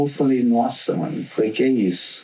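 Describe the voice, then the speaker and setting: A man at medium pitch against noticeable background noise. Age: 40s. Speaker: graffiti artist. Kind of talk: casual interview chat.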